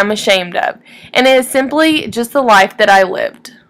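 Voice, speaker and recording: Lively intonation from a woman with a Texan accent and a high pitch. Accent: Texan Southern US. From East Texas (Woodville). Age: 20s. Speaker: student. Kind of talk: reading aloud. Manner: formal.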